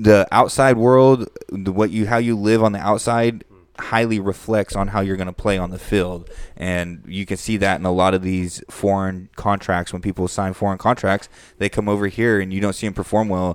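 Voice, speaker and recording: A normal speaking voice at a moderate pace, fairly even in intonation, on a very clean recording with a silent background. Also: man, fairly low pitch for a man. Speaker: podcast host. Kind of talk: casual banter, comedic podcast.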